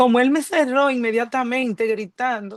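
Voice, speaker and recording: Her voice is high-pitched for a woman, with fairly even intonation, at a fairly slow pace. The sound is dry and close with no echo, over a quiet background. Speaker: churchgoer giving testimony. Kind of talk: testimony. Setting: video call.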